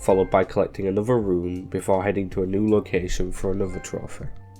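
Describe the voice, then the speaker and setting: Music plays in the background as a man with a fairly low pitch speaks. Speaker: gaming video narrator. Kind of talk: video game playthrough narration. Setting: home recording with computer fan noise.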